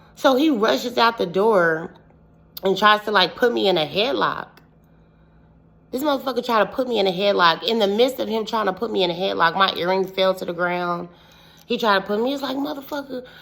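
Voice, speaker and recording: A woman with vocal fry speaks at a medium pitch and a fairly quick pace, her tone animated and her intonation lively, in a very clean recording with a silent background. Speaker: witch, storytelling vlogger. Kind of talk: casual storytelling vlog.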